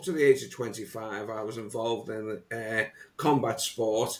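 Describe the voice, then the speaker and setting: A man speaks with a Liverpool accent. His pitch is medium. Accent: Liverpool (Scouse). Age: 60s. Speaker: motivational coach. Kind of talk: podcast interview. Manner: halting, many repetitions.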